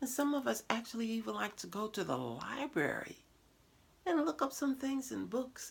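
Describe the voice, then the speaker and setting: Playful in tone, a woman talks with very wide swings in pitch. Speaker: show host. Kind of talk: casual talk to camera. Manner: playful, humorous.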